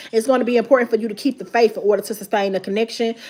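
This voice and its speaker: A woman with a fairly high pitch and ordinary pitch variation, amid noticeable background noise. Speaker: tarot reader. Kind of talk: live tarot reading. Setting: livestream. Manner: fast.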